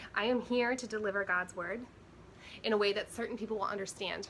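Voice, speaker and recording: A woman talks at a fairly quick pace, her intonation fairly even. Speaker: spiritual coach, vlogger. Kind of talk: personal spiritual monologue. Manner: emotional, trembling at times.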